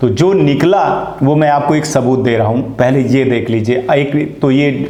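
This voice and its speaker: The voice shows ordinary pitch variation. Noticeable background noise and audible room echo fill the recording. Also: man. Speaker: news channel host. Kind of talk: news commentary.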